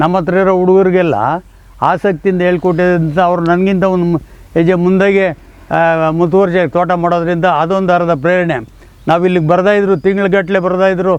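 The delivery is monotone with flat intonation and very even loudness. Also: man, high pitch for a man. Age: 80s+. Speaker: farm owner. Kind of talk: interview.

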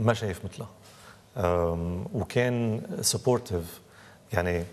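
This is a man's voice. It sits at a very deep, low pitch. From Lebanon, Beirut; Lebanon. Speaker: novelist and screenwriter; interview guest. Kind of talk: interview. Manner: halting. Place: hall.

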